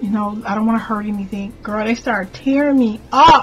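A woman talks at a moderate pace with ordinary pitch variation. Faint music plays in the background. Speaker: spiritual content creator. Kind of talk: casual vlog storytelling. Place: home room. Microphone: webcam.

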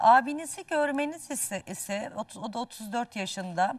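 A woman speaks in a fairly high, somewhat breathy voice with lively intonation. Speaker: dream interpreter. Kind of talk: live TV dream readings for callers. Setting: TV studio, live broadcast.

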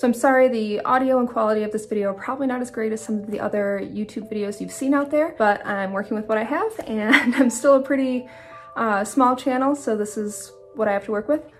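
A woman talks at a very fast pace with ordinary pitch variation as music plays in the background. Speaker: outdoor vlogger. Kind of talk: casual vlog chat. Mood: apologetic, then serious. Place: home room. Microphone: phone near.

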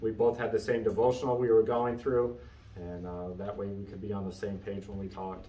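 A man at a fairly quick pace, with audible room echo and light background noise. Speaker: Sunday school teacher. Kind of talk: lecture. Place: classroom. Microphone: camera far.

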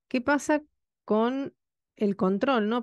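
Against a quiet background, the voice has ordinary pitch variation and a dry sound with no echo. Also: woman. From Argentina. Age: 50s. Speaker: radio host. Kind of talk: radio talk show. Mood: indignant, critical of government. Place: studio. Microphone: studio mic.

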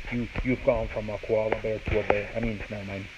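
A man delivers his words fairly quickly while background noise is clearly audible. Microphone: phone near.

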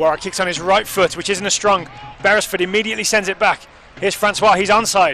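Over noticeable background noise, a man with a high voice speaks very fast in a raised, projected voice with monotone, flat intonation. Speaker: soccer commentator. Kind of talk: live match commentary over highlights. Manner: fast, fluent play-by-play; light, chatty, laughs between plays.

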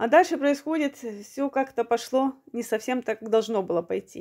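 A woman's high-pitched voice has a dark, mellow tone and a moderate pace, with a quiet background. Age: 40s. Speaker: video blogger. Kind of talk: personal testimony. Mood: earnest, aggrieved storytelling. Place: home room. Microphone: phone near.

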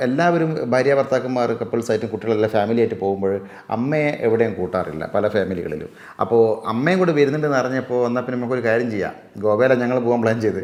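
A man speaks at medium pitch in an ordinary speaking voice, with ordinary pitch variation. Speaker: video creator and actor. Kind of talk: interview.

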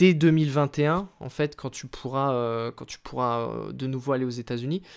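A man is talking here, his pitch fairly high. Behind him the background is quiet. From France. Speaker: YouTube wrestling channel host. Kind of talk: interview. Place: home room. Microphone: studio mic.

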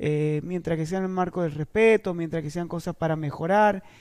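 A man's high voice, dark and mellow, at a moderate pace with fairly even intonation and a quiet background. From Argentina, San Juan province. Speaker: party leader and government official; politician. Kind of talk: interview. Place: studio. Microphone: headset.

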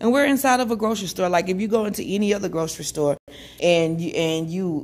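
Using a normal speaking voice, a woman with a fairly low pitch talks at a fairly quick pace. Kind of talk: casual vlog chat. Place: shop. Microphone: phone near.

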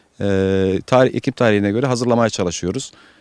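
A man speaks at a fairly quick pace with fairly even intonation. The recording is very clean with a silent background and a dry, close sound with no echo. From Turkey, Alanya. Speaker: avocado nursery owner. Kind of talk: interview. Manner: hesitant with many fillers.

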